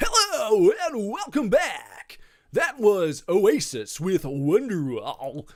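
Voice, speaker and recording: A man puts on a high-pitched character voice. He speaks very slowly. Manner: smooth, announcer-like.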